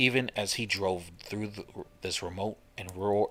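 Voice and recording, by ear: The voice reads aloud. It sounds natural.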